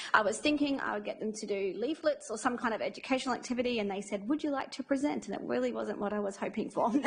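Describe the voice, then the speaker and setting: With noticeable background noise behind her, a woman speaks at a very fast pace with ordinary pitch variation. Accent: Australian. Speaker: infection control nurse. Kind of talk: presentation to audience. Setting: room with live audience.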